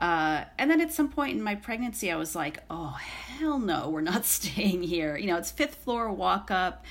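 A woman with an American accent, vocal fry, medium pitch, very wide pitch swings and a moderate pace. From central New York, Syracuse area. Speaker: writer. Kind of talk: casual chat.

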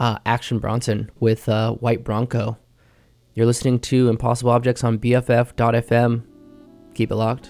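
A man of medium pitch speaks fairly slowly in a dark, mellow tone. His delivery is monotone and flat, on a very clean recording with a silent background. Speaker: radio host. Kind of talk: radio dj patter. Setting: radio studio. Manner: easygoing, low-key, halting, with frequent filler 'um' and 'uh'; casual, informal, conversational song-by-song rundown.

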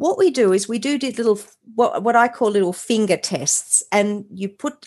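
With an Australian accent and lively intonation, a woman speaks at a moderate pace. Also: quiet background. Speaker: mindset and transformation coach. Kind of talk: interview.

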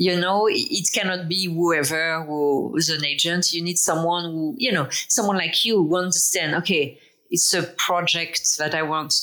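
With a French accent, a woman talks at a moderate pace in a fairly low voice with a bright, sharp tone. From France. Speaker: author and speaker on microdosing. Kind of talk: interview.

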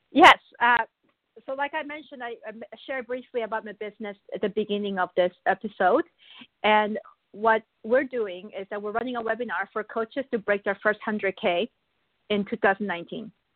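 A woman with a fairly high voice speaks at a moderate pace, her pitch varying in an ordinary way. Her loudness swings widely, and she leaves long, frequent pauses. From Argentina (Buenos Aires), born in Korea, later Canada. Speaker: business and marketing coach. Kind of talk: interview.

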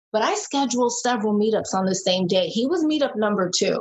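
A woman with an American accent, her pitch fairly high, at a moderate pace. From New York City, Brooklyn. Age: 40s. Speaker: reality TV contestant. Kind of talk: casual chat.

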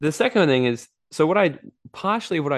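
Against a quiet background, a man with an Australian accent speaks in an animated tone with lively intonation. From Australia, Gold Coast. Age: 20s. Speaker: entrepreneur and events speaker. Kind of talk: interview.

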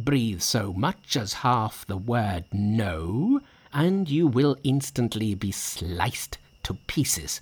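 A man's put-on character voice, fairly low in pitch, with big pitch swings, a slow pace and a slightly husky edge

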